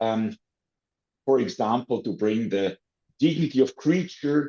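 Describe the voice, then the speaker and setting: A man's dark, mellow tone at a medium pitch, with very wide pitch swings, a fairly slow pace and a dry, close sound with no echo. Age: 60s. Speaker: animal protection lawyer. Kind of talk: interview. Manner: halting.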